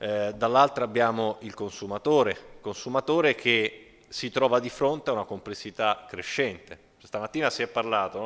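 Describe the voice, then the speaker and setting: Keeping a moderate pace, a man speaks with ordinary pitch variation. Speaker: energy efficiency expert. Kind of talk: panel discussion. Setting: stage with audience. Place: hall. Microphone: podium.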